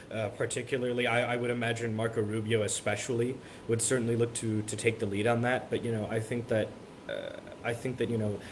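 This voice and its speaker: Through noticeable background noise and audible room echo, a man speaks very fast at a medium pitch with monotone, flat intonation. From Miami, Florida. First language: Spanish. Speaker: college student. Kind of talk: interview. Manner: halting, many repetitions.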